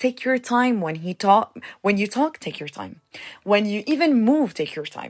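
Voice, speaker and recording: At a fairly slow pace, a woman talks in an animated tone with lively intonation. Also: dry, close sound with no echo. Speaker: podcast host. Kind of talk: casual advice talk. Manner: loud.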